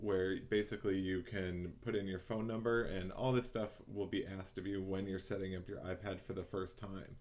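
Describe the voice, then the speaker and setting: A man speaks at a fairly low pitch. He has a plain, everyday voice. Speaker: tutorial host. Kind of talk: tutorial. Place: home room. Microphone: webcam.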